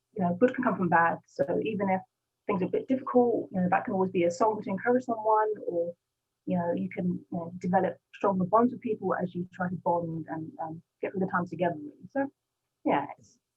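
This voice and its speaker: With a British accent, a woman at a medium pitch talks at a fairly quick pace with ordinary pitch variation and big swings in loudness as music plays in the background. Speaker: gospel rapper. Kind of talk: interview. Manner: fast.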